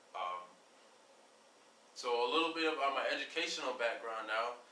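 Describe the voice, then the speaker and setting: A man speaks at a moderate pace, his pitch medium and his intonation fairly even. Audible room echo and noticeable background noise surround his voice. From Jamaica. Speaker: aviation network founder. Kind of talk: informal video introduction. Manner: halting, many fillers.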